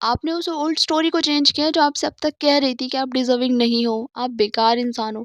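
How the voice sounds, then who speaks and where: Recorded with a dry, close sound with no echo and a quiet background, a woman speaks at a moderate pace and high pitch with ordinary pitch variation. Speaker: psychotherapist and mindset coach. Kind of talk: advice monologue answering viewer questions. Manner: conversational, direct address.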